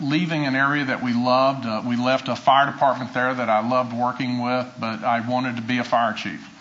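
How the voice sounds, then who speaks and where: A man with an American accent talks at medium pitch and a moderate pace. Noticeable background noise and audible room echo are present. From US South. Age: 60s. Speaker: retired fire chief. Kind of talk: acceptance speech. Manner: halting.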